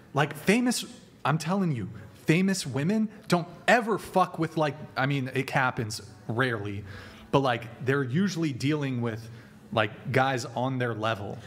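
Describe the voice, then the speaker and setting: With a fairly high pitch and a somewhat breathy sound, a man speaks at a fairly slow pace using lively intonation. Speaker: livestream host. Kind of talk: heated argument. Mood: assertive, lecturing. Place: studio. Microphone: studio mic.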